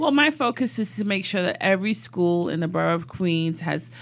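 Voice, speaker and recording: The recording is very clean, with a silent background. A woman with an American accent uses vocal fry at a fairly low pitch, moderate pace and lively intonation. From East London, then New York from age ten. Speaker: politician. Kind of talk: interview.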